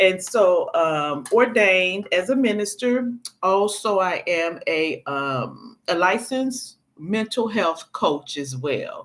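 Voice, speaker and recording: Very wide pitch swings at a very slow pace. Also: woman, medium pitch for a woman. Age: 60s. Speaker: YouTube commentator and minister. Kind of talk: live stream casual talk. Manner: halting, many fillers.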